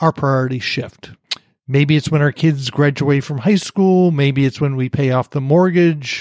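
A man's fairly high voice at a moderate pace with ordinary pitch variation, in a dry, close recording with no echo. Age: 60s. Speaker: career coach. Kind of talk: interview. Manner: direct.

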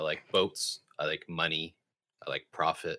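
The man's voice has a dry, close sound with no echo. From Canada. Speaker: podcast co-host. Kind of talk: casual chat.

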